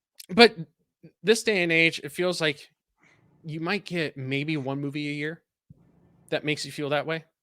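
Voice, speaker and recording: In a dry, close sound with no echo, a man with a Californian accent and a fairly high pitch talks at a moderate pace with ordinary pitch variation and long, frequent pauses. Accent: California. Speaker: content creator and writer. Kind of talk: casual interview chat. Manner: animated.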